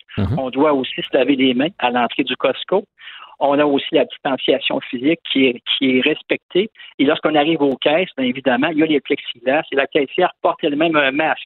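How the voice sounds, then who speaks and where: In an ordinary speaking voice, a man with a fairly high pitch talks at a fairly quick pace with ordinary pitch variation. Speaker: public health physician. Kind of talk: interview.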